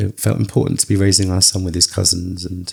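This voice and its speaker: In a very deep, low voice with a dark, mellow tone, a man speaks somewhat breathily at a fairly quick pace with fairly even intonation. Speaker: psychotherapist. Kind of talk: interview.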